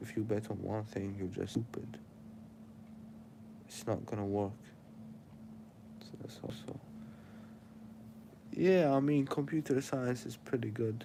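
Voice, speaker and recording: A man's dark, mellow voice at medium pitch, fairly slow, with lively intonation, big swings in loudness, and long, frequent pauses. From Syria. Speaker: live streamer. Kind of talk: casual live stream chat. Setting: live stream. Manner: casual, rambling.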